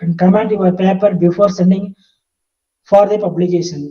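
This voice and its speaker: At a moderate pace, a man speaks with a high pitch, a dark, mellow tone and fairly even intonation. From India. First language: not English. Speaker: professor. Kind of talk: lecture. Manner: halting, many fillers.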